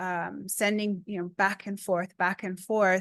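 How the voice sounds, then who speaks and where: Against a quiet background, a woman speaks at a medium pitch in a Spanish accent, her intonation monotone and flat. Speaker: research engagement speaker. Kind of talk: seminar Q&A.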